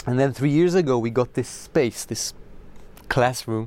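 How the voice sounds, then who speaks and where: A man speaks with an Israeli accent. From Israel, Zichron Yaakov. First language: Hebrew. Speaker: musician. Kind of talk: interview. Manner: halting.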